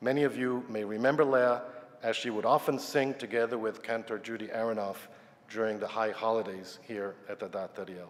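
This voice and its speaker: Here is a normal speaking voice with ordinary pitch variation. It moves at a fairly quick pace. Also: man. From Yugoslavia and New York. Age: 60s. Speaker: retired scientist. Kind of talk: personal talk to congregation.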